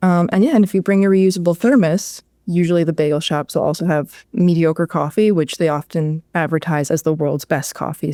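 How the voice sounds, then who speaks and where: The voice moves at a fairly quick pace with a dark, mellow tone and a Long Island accent, in a very clean, dry, close recording with a silent background and no echo. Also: woman. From Long Island, New York. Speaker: caller, game show contestant. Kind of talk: casual pitch on a game show. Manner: animated.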